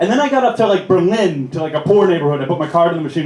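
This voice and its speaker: The speaker has an American accent, an animated tone and lively intonation. Audible room echo and noticeable background noise surround the voice. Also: man. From United States. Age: 30s. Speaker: comedian. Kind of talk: stand-up. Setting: stage with audience.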